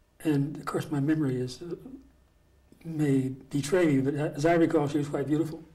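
A man speaks in a dark, mellow, somewhat breathy voice at a moderate pace, his intonation flat and monotone. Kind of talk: interview answer. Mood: calm, lightly amused. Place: home room.

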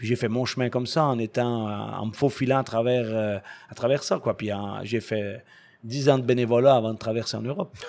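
Using an ordinary speaking voice, a man speaks at medium pitch at a fairly quick pace with fairly even intonation. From Quebec. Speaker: ice hockey coach. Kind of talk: interview. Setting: ice rink.

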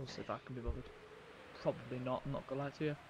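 A man with a British accent, dry sound with no echo, and light background noise. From United Kingdom. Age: young. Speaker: gaming streamer. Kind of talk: live-stream gameplay commentary. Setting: home, live stream. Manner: casual, rambling. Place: home room.

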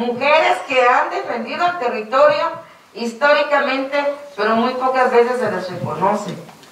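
A woman's high voice with lively intonation at a moderate pace, with audible room echo. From Guatemala, Maya Q'eqchi. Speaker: speaker. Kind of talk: public talk. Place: hall.

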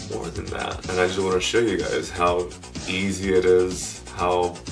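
A man's very deep, low voice at a fairly slow pace, with clear music in the background. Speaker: keto recipe vlogger. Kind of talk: casual talk to camera. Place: home room. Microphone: camera far.

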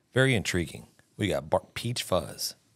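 With an American accent, a man speaks at a moderate pace with lively intonation. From Texas. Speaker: barbecue podcast host; podcast host. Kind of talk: casual chat. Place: studio. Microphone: studio mic.

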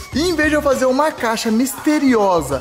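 There is noticeable background noise while a man is speaking. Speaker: vlogger. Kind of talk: casual vlog chat. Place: home room. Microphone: phone near.

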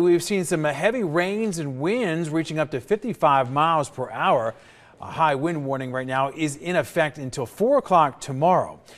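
A man talks with lively intonation at a high pitch. Noticeable background noise can be heard. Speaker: news anchor. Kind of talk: news reading. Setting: studio.

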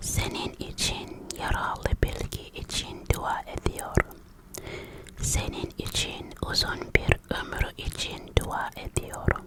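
A woman's whisper comes very slowly through noticeable background noise. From Africa. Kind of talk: ASMR whispered vlog. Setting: alone in her room in a foreign country. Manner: whispered, soft.

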